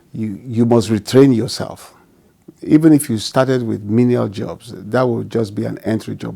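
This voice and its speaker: A man's medium-pitched voice with a dark, mellow tone, a fairly slow pace and fairly even intonation. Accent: Nigerian. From Nigeria. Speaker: physician and pastor. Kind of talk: interview answer.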